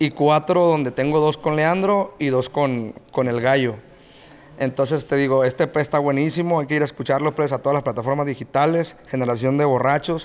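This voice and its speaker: A man's normal speaking voice, fairly high in pitch, at a moderate pace with fairly even intonation and very even loudness. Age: 30s. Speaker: regional Mexican band singer. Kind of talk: casual chat.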